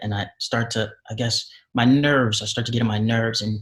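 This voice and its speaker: A man's somewhat breathy voice, very clean recording, silent background. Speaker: actor. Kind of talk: interview. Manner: articulate.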